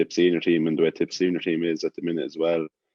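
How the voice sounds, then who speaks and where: An Irish Midlands accent, very fast, with monotone, flat intonation. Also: man. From Ireland, Birr, County Offaly. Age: 20s. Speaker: rugby player. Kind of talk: casual chat.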